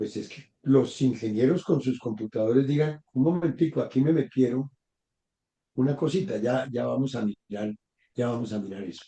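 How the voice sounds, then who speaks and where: The voice has a dark, mellow tone, moderate pace, ordinary pitch variation and big swings in loudness. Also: man, medium pitch for a man. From Bogotá, Colombia. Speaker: professor, guest expert. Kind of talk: interview conversation in a live conference.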